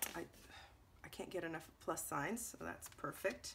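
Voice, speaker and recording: Light noise hums in the background. The voice belongs to a woman. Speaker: scrapbooking video creator. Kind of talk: product unboxing. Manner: casual, halting with ums; restrained to avoid coughing. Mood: pleased, upbeat.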